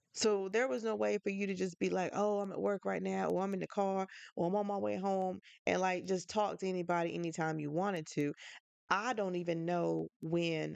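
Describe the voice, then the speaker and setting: At a fairly quick pace, a woman with a fairly low pitch talks in a normal speaking voice with ordinary pitch variation against a quiet background. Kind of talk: casual podcast monologue. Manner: conversational, chatty.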